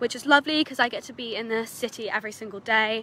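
Over light background noise, a woman talks at a fairly quick pace in a dry sound with no echo. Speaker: student guide. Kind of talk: casual vlog chat. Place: street. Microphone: phone near.

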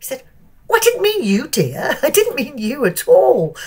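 A woman with a British accent at a fairly slow pace. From England. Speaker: motorsport TV reporter. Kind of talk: casual interview. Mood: amused, warm storytelling.

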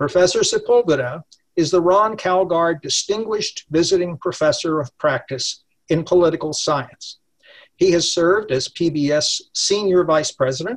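The man's voice sits high in pitch for a man, with ordinary pitch variation, a moderate pace and a quiet background. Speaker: event host. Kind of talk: speaker introduction. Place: home room. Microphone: webcam.

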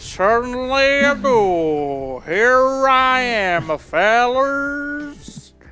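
Over faint music in the background, a female-sounding voice in a put-on character voice with a Texan accent speaks at a very slow pace in a high pitch, with hardly any pauses. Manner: playful, exaggerated.

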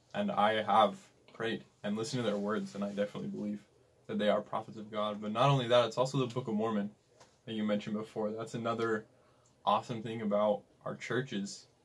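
A man with a Western US accent at a very fast pace, his intonation fairly even. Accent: US Western American. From Utah. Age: young. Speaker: missionary; podcast guest. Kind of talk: interview conversation. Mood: earnest, sincere. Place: home room.

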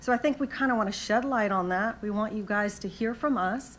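Speaking at a moderate pace with ordinary pitch variation, a woman is heard over light background noise. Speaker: panel moderator. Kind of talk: conference panel introduction. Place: hall. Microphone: lapel.

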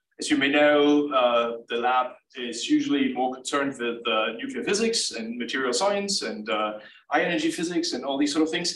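Audible room echo fills the recording. A man talks at a moderate pace. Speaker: presenter. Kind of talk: lecture. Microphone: video call.

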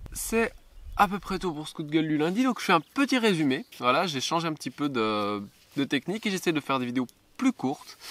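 At a fairly quick pace, the voice moves through very wide pitch swings in a dry sound with no echo. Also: man. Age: 20s. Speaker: model glider pilot, YouTuber. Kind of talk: vlog monologue. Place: open country.

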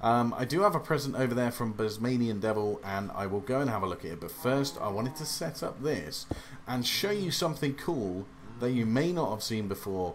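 Lively intonation and a fairly quick pace mark this English accent. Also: man, medium pitch for a man. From England. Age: 30s. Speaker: gaming youtuber. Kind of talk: let's play commentary. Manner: hesitant with many fillers.

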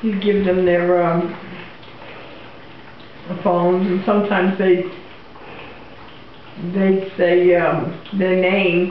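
A woman's monotone, flat delivery at a very slow pace, full of long, frequent pauses, with audible room echo and light background noise. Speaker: interviewee. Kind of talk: interview answer.

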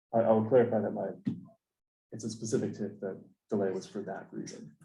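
A man with a fairly low pitch and a dark, mellow tone speaks very fast in a flat monotone, somewhat breathy, with big swings in loudness and audible room echo. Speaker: planning board chair. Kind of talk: public meeting discussion. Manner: soft-spoken; halting.

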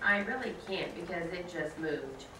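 Over light background noise and audible room echo, a woman talks at a moderate pace. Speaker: reader performing a trial transcript. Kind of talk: dramatic reading of courtroom dialogue. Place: classroom.

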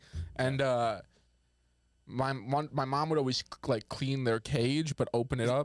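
Against a quiet background, a man at a medium pitch talks at a moderate pace with long, frequent pauses, very even loudness, ordinary pitch variation and a dry sound with no echo. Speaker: comedian podcast host. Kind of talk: casual comedy banter. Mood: joking, playful. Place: studio. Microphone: studio mic.

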